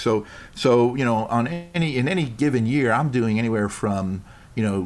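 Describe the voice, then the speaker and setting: Over music in the background, a man with an American accent talks with ordinary pitch variation. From New York. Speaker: improv performer and golfer. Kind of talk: casual interview chat. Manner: rambling, hesitant with fillers.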